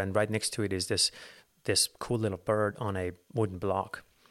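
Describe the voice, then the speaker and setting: A man with an American accent speaks fairly quickly in a fairly low, monotone, flat voice. The recording is very clean, with a silent background. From Los Angeles, US. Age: 40s. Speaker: falconer and bird breeder. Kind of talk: casual interview.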